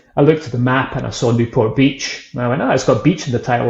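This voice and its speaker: A man with a Scottish accent at medium pitch, a very fast pace, fairly even intonation and a somewhat breathy sound. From Scotland, Edinburgh. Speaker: whisky brand founder and author. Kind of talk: casual interview chat.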